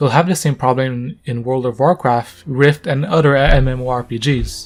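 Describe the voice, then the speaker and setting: With music in the background, a man with a non-native accent speaks at medium pitch. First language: not English. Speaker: gaming commentator. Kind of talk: casual rant to camera.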